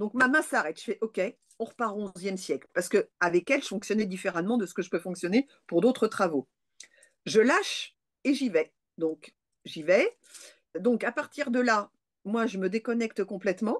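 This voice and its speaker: Against a quiet background, a woman speaks with lively intonation and long, frequent pauses. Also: fairly high pitch for a woman. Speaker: parapsychologist and lecturer; lecturer. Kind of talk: interview testimony. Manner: fast. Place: home room. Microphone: webcam.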